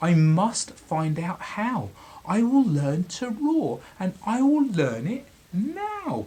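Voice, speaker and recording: This put-on character voice sits at a middle pitch and moves at a very slow pace. Its pitch swings very widely. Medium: read story. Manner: timid, polite.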